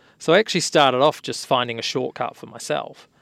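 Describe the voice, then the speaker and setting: A man speaks at a moderate pace with medium pitch and fairly even intonation, the sound dry and close with no echo on a very clean recording with a silent background. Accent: New Zealand. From New Zealand. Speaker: architect and tech company founder. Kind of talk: interview.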